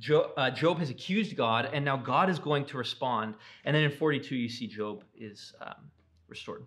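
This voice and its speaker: A man's fairly high voice with lively intonation and big swings in loudness. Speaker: Bible class teacher. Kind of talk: lecture. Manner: fast; casual with many fillers.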